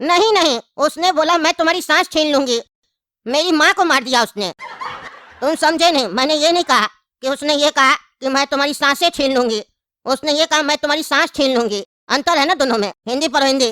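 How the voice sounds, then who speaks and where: Someone puts on a character voice with a high pitch and speaks at a moderate pace. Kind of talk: comic deadpan sketch acting. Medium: comedy sketch. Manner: condescending, rambling, lecturing.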